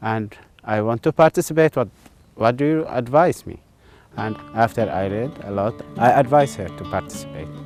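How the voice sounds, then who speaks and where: A man talks at a moderate pace in a Levantine accent, his pitch swinging very widely and his loudness rising and falling sharply. Music plays in the background. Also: medium pitch for a man. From Syria and Jordan. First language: Arabic. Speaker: educator. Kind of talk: interview answer.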